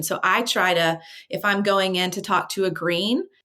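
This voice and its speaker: In a plain, everyday voice, a woman of medium pitch speaks at a moderate pace with fairly even intonation. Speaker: communication trainer. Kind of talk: interview.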